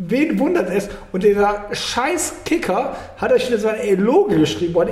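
A man speaks loudly with a high voice at a moderate pace. Noticeable background noise and audible room echo are present. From Germany, Cologne. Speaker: podcast host. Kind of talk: casual chat. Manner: loud and clear.

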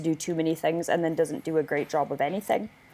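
Over noticeable background noise, a woman with a fairly low pitch talks at a very fast pace. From Winnipeg, Canada. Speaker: wedding photographer. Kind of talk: casual interview.

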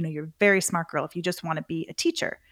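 Very fast speech with ordinary pitch variation, a dry, close sound with no echo and a very clean recording with a silent background. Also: woman. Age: 40s. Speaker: entrepreneur and author. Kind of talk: interview.

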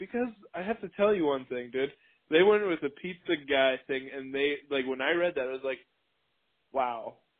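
A man with a Wisconsin accent and a fairly high pitch speaks at a moderate pace. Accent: Upper Midwest (Wisconsin) American. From Racine, Wisconsin. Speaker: podcast co-host. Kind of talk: casual chat.

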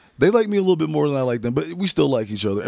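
Speaking at a very fast pace in an American accent, a man uses an animated tone with very wide pitch swings. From Massachusetts. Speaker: music producer. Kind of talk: casual chat.

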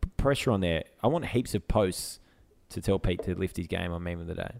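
A man speaks in an Australian accent. His pace is moderate. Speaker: podcast co-host. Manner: casual, bantering.

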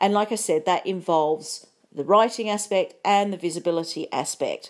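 With a normal speaking voice, a woman talks at medium pitch and a moderate pace, her pitch varying in an ordinary way on a very clean recording with a silent background. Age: 50s. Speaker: podcast host, psychologist and business coach. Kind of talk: solo podcast monologue.

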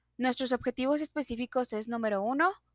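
In a very clean recording with a silent background and a dry, close sound with no echo, a woman talks at a moderate pace with an unremarkable speaking voice and ordinary pitch variation. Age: 30s. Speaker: student. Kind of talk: sales pitch. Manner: formal.

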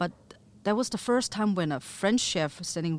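Her pitch swings very widely as she talks at a fairly slow pace. The woman has a Chinese accent. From Chengdu, China. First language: Mandarin Chinese. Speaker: chef and restaurant owner. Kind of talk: interview.

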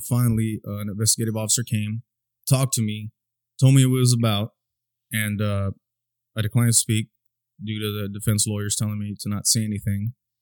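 In an American accent, a man talks with a fairly low pitch and monotone, flat intonation. The sound is dry and close, with no echo. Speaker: podcast host. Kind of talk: casual podcast conversation about mental health.

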